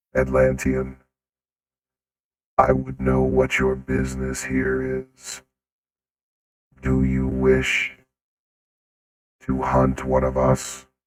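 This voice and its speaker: Using a put-on character voice, a man talks very slowly at a very deep, low pitch, with monotone, flat intonation and long, frequent pauses. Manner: challenging, suspicious.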